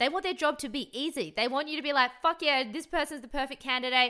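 Raising and projecting her voice, a woman speaks at a fairly quick pace and a high pitch with an animated, energetic, bright and sharp tone. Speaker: podcast host. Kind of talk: solo motivational podcast monologue. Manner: casual, chatty with filler words.

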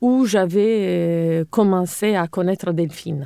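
The voice has a dark, mellow tone and ordinary pitch variation at a very slow pace. The recording is very clean with a silent background and a dry, close sound with no echo. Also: woman. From Sardinia, Italy (Cagliari). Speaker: architect. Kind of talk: interview.

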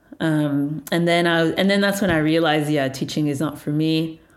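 A woman speaks at a moderate pace with a very deep, low pitch and fairly even intonation, and audible room echo surrounds her voice. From Montreal, Quebec, Canada. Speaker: tech business founder. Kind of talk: interview.

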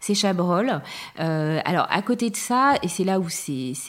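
A woman's fairly low-pitched voice with lively intonation. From France, Charente-Maritime (southwest). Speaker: interviewee sharing family story. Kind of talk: personal testimony. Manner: hesitant, many fillers.

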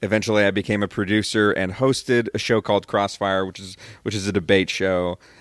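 On a very clean recording with a silent background, a man with an unremarkable speaking voice and an American accent talks at a fairly quick pace. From Rio Grande Valley, Texas. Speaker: TV sports reporter. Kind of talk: casual interview chat.

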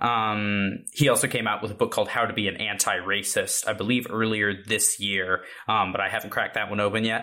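In a very clean recording with a silent background, a man with a fairly low pitch and a bright, sharp tone speaks at a fairly quick pace in a monotone, flat intonation, with hardly any pauses. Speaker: podcast host and producer.

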